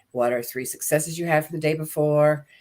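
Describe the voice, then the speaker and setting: A woman's very deep, low voice at a moderate pace, with ordinary pitch variation. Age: 70s. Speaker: motivational speaker and author. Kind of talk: testimony.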